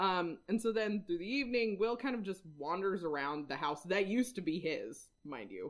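A woman with an American accent speaks in a plain, everyday voice at a medium pitch and moderate pace. She uses lively intonation and hardly any pauses. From Washington, Whidbey Island. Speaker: podcast co-host. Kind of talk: casual chat.

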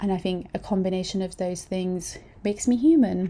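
In a very clean recording with a silent background, a somewhat breathy voice with a dark, mellow tone speaks at a moderate pace. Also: woman. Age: 20s. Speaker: podcast host. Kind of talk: casual monologue. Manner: hesitant, many fillers.

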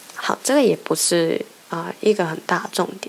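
Lively intonation marks a woman's voice, heard over noticeable background noise. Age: 20s. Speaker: podcast host. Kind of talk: personal monologue. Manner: halting, many fillers.

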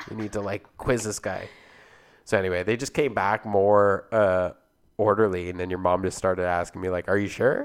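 A man with a Canadian accent, a normal speaking voice, fairly low pitch, fairly even intonation and a moderate pace, on a very clean recording with a silent background. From Canada (Alberta, Ontario). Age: 20s. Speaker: podcast co-host. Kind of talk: casual chat.

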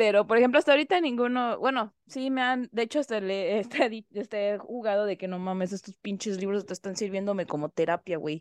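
A woman with a normal speaking voice talks at a fairly quick pace and hardly pauses, her medium pitch showing ordinary variation, in dry, close sound with no echo. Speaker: podcast co-host. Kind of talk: casual chat.

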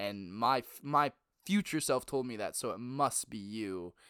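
Here a man uses a plain, everyday voice at a medium pitch with ordinary pitch variation and a fairly slow pace. The recording is very clean with a silent background. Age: 20s. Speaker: podcast co-host. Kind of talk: casual chat. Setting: home basement recording. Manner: loud.

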